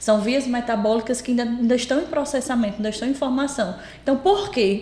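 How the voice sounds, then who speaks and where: With a strong potiguar accent, a woman speaks over noticeable background noise. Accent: strong potiguar (Rio Grande do Norte). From Brazil, Rio Grande do Norte. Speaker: pediatrician. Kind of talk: podcast interview.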